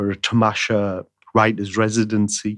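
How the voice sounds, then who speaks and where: With a Teesside accent, a man talks in a fairly low pitch against a quiet background. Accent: broad Middlesbrough. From northern England, Middlesbrough (Teesside). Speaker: playwright and screenwriter. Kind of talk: interview conversation. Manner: repeats words, hesitant restarts.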